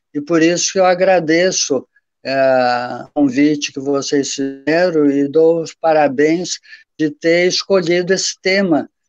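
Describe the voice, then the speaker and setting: A man speaks very slowly in a fairly high pitch with fairly even intonation, the sound dry and close with no echo and music playing in the background. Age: 70s. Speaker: professor. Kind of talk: panel talk.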